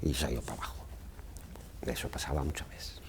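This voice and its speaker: A man talks at a very fast pace in a very deep, low voice. His tone is dark and mellow, with vocal fry. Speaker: retired museum carpenter and former lift operator. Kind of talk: oral history interview answer. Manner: casual, anecdotal.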